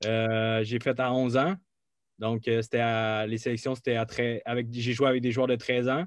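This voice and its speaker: A man with an ordinary speaking voice talks at a medium pitch and a moderate pace, keeping fairly even intonation and very even loudness. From Quebec, Mauricie. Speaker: college soccer player. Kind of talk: interview.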